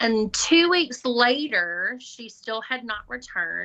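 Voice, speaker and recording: A woman is talking. She speaks with a Southern US accent. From Alabama. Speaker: school administrator, former special education teacher. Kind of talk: podcast interview.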